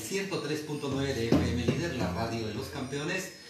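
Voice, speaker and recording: Loud music plays in the background as a man speaks amid audible room echo. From Guatemala. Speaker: radio host. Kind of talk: radio interview introduction. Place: home room. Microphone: camera far.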